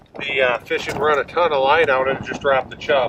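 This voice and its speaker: A man with an American accent at a fairly quick pace, over noticeable background noise. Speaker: fishing guide or outdoors TV angler. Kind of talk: outdoor fishing show commentary. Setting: ice fishing on a frozen lake.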